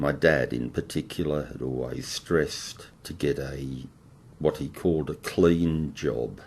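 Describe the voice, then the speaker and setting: His very deep, low voice carries vocal fry as the man speaks with fairly even intonation. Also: fairly slow pace, big swings in loudness. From Melbourne, Australia. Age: 60s. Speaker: oral historian. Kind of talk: oral history monologue. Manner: halting.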